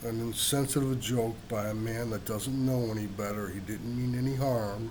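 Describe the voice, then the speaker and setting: Audible room echo surrounds a man talking at a medium pitch. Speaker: video blogger. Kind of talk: casual rant monologue. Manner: slow; animated.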